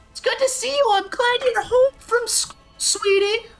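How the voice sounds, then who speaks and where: A put-on character voice with an extremely high pitch speaks at a moderate pace over faint music in the background. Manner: sweet, motherly.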